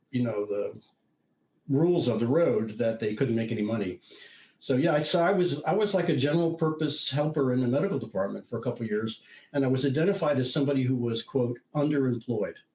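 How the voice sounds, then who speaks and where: Speaking at a very fast pace, a man with a medium pitch uses lively intonation and very even loudness, his dark, mellow tone somewhat breathy. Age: 70s. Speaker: retired IT consultant and professor, tech writer. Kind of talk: interview conversation. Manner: halting, with many restarts.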